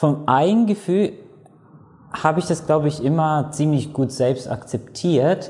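A man's fairly high-pitched voice with a dark, mellow tone and ordinary pitch variation. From Latvia. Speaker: pharmacist. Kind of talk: interview testimony.

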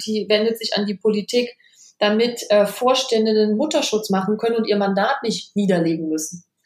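With a plain, everyday voice, a woman of fairly high pitch talks at a fairly quick pace in fairly even intonation. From Rhineland, Germany (Kreis Düren). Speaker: PR consultant and business networker. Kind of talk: casual interview. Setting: remote recording.

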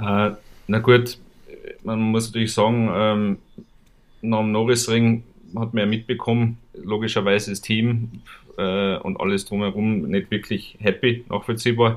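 A man's medium-pitched, flat, monotone voice at a fairly slow pace, with long, frequent pauses. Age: 30s. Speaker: motorsport series manager. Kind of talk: casual chat.

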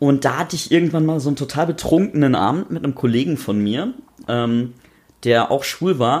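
A man with a plain, everyday voice talks at a fairly quick pace with lively intonation. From North Rhine-Westphalia, rural. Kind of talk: casual chat. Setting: home kitchen.

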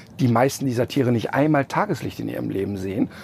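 The clip has an ordinary speaking voice moving at a moderate pace. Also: man. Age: 50s. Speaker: animal welfare presenter. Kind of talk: interview. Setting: in a tour bus.

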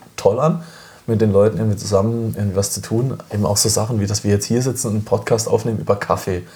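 A man talks with a fairly low pitch. Behind him, noticeable background noise can be heard. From southern Germany, village near Freiburg. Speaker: coffee events organizer. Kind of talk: casual chat. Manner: animated.

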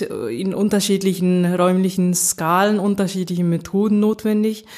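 A woman speaks in a dark, mellow tone. Her intonation stays monotone and flat. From Japan (Nagoya), German mother. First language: Japanese (stronger), German from mother (speaking German). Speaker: agricultural science professor. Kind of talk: interview. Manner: halting, many fillers.

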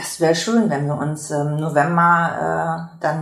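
A fairly low woman's voice amid audible room echo and noticeable background noise. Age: 50s. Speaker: workshop trainer and patient volunteer. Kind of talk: interview; scripted intro.

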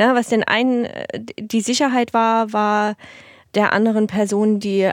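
A woman speaks at medium pitch with monotone, flat intonation and a moderate pace. The recording is very clean, with a silent background. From eastern Germany, Dresden (Saxony). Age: 30s. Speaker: make-up artist. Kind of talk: casual interview chat.

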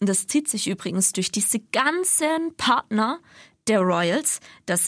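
A woman speaks at medium pitch in an ordinary speaking voice with lively intonation. The sound is dry and close with no echo, and the recording is very clean with a silent background. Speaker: radio podcast co-host. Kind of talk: casual chat.

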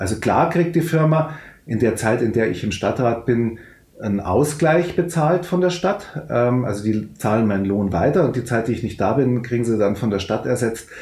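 A man talks at a moderate pace with lively intonation. The room echoes audibly, and background noise is noticeable. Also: medium pitch for a man. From Upper Bavaria, Fürstenfeldbruck near Munich. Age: 50s. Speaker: club owner and city councillor. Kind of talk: interview. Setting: video call.

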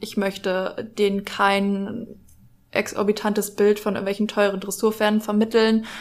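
Monotone and flat in intonation, a woman speaks at a moderate pace in a medium pitch. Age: 20s. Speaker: equestrian social media influencer. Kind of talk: casual chat.

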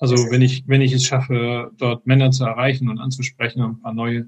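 At a medium pitch and moderate pace, a man speaks in a somewhat breathy, monotone, flat way. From Frankfurt, Hesse, Germany. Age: 50s. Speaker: software engineer and men's group organizer. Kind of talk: interview. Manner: halting, many fillers.

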